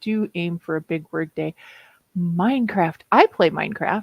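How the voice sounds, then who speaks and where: A woman with a Minnesota accent speaks at a fairly slow pace and fairly low pitch. The sound is dry and close, with no echo. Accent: Minnesota accent, stretched O's. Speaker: streamer, writer. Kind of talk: casual chat.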